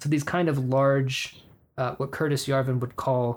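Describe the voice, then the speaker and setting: A man with an American accent talks at a moderate pace and a medium pitch. He has an unremarkable speaking voice, recorded very cleanly against a silent background. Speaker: podcast host. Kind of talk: casual chat.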